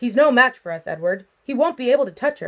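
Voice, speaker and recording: A put-on character voice at a very fast pace, in a very clean recording with a silent background. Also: woman. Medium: read story. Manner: confident, casual.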